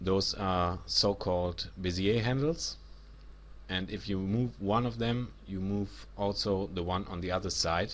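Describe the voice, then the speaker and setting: A man with a German accent talks at a fairly slow pace in a very deep, low voice with ordinary pitch variation. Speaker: 3D software instructor. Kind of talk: tutorial.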